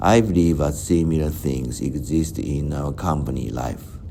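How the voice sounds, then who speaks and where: Noticeable background noise and audible room echo fill the recording. A man speaks fairly slowly at a very deep, low pitch. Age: 60s. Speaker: vlogger. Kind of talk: personal reflective monologue. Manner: halting.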